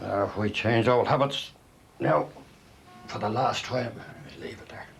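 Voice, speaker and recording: Speaking slowly-ish at a fairly slow pace in a Dublin accent, a man uses a medium pitch with ordinary variation and big swings in loudness, amid noticeable background noise and audible room echo. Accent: Irish, Dublin. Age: 60s. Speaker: retired mail sorter. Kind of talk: documentary narration.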